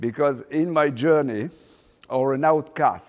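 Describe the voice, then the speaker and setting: A man with a French accent talks at a fairly slow pace. His pitch is fairly high, with ordinary variation. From Morocco, raised in France. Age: 60s. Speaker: fashion designer. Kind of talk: guest lecture. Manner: halting, many fillers.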